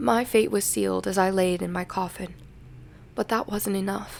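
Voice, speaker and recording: With music playing in the background, a woman speaks at medium pitch and a moderate pace, her intonation fairly even. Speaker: amateur horror story narrator. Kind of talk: gothic horror story reading.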